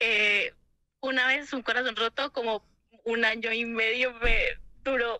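A woman with a fairly high pitch and a bright, sharp tone speaks at a fairly slow pace, with long, frequent pauses. Her intonation is monotone and flat, recorded dry with no echo against a quiet background. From Colombia. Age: 20s. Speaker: caller. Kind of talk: phone call. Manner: halting.

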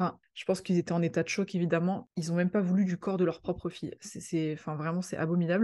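A woman talks very fast in a fairly low pitch with a dark, mellow tone. Her intonation stays monotone and flat. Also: hardly any pauses. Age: 30s. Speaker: art history youtuber. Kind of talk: informal video talk. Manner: hesitant, many fillers.

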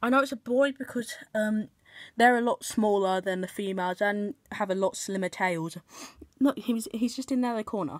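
Against a quiet background, a woman speaks at a moderate pace. Her pitch is fairly high, with ordinary pitch variation. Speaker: pet keeper vlogger. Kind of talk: casual chat. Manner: soft-spoken. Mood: excited, gentle. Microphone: phone near.

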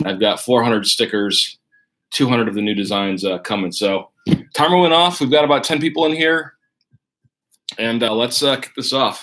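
A man talks with a bright, sharp tone and lively intonation at a moderate pace. He leaves long, frequent pauses, and the background is quiet. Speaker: card break host. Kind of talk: live stream commentary. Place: home room.

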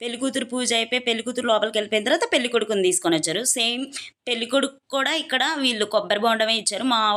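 A woman talks in a bright, sharp tone at a fairly high pitch. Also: ordinary pitch variation. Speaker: vlogger. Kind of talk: casual vlog narration.

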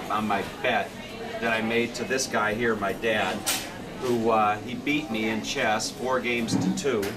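Moving at a moderate pace, a man's voice competes with loud background noise. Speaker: traveler vlogger. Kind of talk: casual talk to camera. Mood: cheerful, joking. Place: station. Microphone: phone near.

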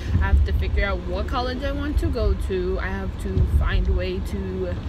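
With music in the background, a woman talks with ordinary pitch variation in a dry sound with no echo. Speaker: vlogger. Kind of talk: casual vlog chat. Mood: chatty, mildly annoyed. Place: car. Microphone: phone near.

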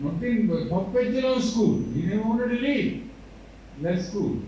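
Over light background noise and audible room echo, a man with a Sri Lankan accent talks at a moderate pace. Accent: Sri Lankan Tamil English. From Sri Lanka, Jaffna. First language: Tamil. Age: 60s. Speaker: university vice chancellor. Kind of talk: ceremonial speech. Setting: stage with audience. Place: hall.

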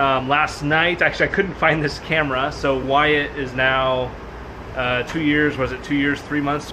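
Noticeable background noise accompanies a man's speech. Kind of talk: casual vlog chat. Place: garage. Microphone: phone near.

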